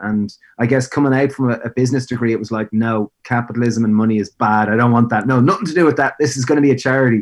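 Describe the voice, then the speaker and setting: Speaking at a very fast pace with an Irish accent, a man uses medium pitch and fairly even intonation in a dry, close recording with no echo. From Ireland, Greystones (Co. Wicklow). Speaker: food business founder. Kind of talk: interview.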